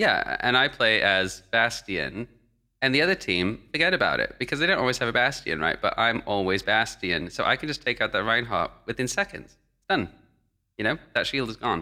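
Speaking in a London accent, a man with a bright, sharp tone and vocal fry makes very wide pitch swings in a very clean recording with a silent background. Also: medium pitch for a man, moderate pace. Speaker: gaming podcast co-host. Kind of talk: casual chat. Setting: home studio recording.

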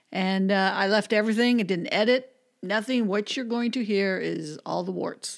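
A woman speaks with an American accent in a normal speaking voice. Her pitch is medium and her pace moderate. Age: 60s. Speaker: podcaster, former radio DJ. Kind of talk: casual chat.

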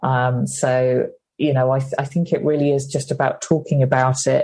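With a British accent, a woman speaks at a moderate pace in a somewhat breathy voice with a very deep, low pitch, a dark, mellow tone and monotone, flat intonation. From UK. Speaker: author and comedian. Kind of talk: interview.

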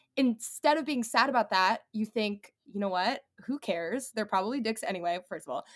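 On a very clean recording with a silent background, a woman speaks at a fairly quick pace with lively intonation. Hers is an unremarkable speaking voice with a fairly high pitch. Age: 20s. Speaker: brand founder. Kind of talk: casual interview chat.

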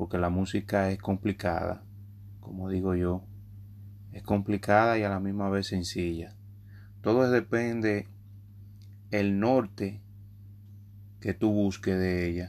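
Very slow, flat, monotone delivery with long, frequent pauses. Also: man, fairly low pitch for a man. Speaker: urban music artist and podcaster. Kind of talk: casual monologue.

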